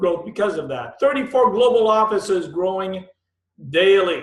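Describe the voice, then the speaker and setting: The man's pitch is high, with ordinary pitch variation. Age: 50s. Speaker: direct-selling presenter. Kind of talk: sales pitch. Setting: webinar. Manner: animated.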